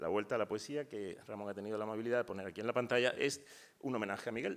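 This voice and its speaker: A man talks in a medium pitch. He goes at a very fast pace. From Spain, Málaga. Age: 60s. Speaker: poet. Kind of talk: panel talk. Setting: university auditorium, panel discussion. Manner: hesitant, with fillers and false starts.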